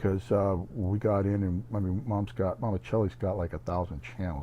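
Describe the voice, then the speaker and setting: A somewhat breathy man's voice, fairly low in pitch, with a dark, mellow tone. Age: 60s. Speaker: YouTuber. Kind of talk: casual monologue vlog. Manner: animated storytelling.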